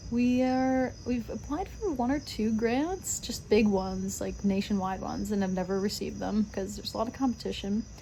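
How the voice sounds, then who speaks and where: A woman at a moderate pace, with hardly any pauses. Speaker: vlogger, restaurant server and musician. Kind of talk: casual vlog talk to camera. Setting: outdoors on front porch. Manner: halting with self-corrections.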